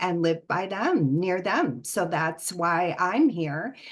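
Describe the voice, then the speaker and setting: With an American accent, a woman talks at a fairly low pitch and ordinary pitch variation. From US, Northern Virginia. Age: 60s. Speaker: empowerment coach. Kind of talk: online talk.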